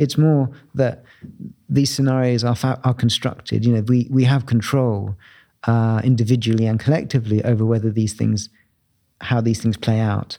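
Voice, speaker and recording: With a London accent, a man speaks at a moderate pace in a dark, mellow tone, his intonation fairly even and his loudness very even. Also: medium pitch for a man, very clean recording, silent background. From southeast London, Bromley. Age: 50s. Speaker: architect and writer. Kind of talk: interview. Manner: halting, many fillers.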